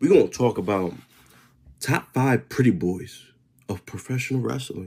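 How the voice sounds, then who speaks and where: At a fairly slow pace, a man with a medium pitch and vocal fry speaks in an animated tone with lively intonation. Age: 20s. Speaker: wrestling commentary YouTuber. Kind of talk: casual vlog talk.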